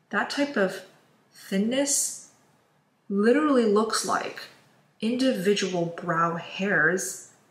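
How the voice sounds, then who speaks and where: There is audible room echo as a woman talks at a very slow pace, her loudness very even. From China. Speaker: beauty YouTuber. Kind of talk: makeup tutorial. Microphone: phone near.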